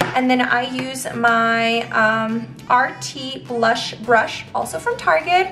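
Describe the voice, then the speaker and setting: Over music in the background and audible room echo, a woman speaks in a high pitch. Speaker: beauty vlogger. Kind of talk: tutorial. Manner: casual, filler-heavy.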